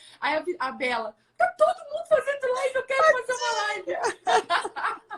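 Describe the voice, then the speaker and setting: Her voice swings very widely in pitch, a woman with a bright, sharp tone and a strong southern Brazilian accent. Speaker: pastor's wife, women's ministry speaker. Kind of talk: religious live stream conversation. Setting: live stream, locked in bedroom at home.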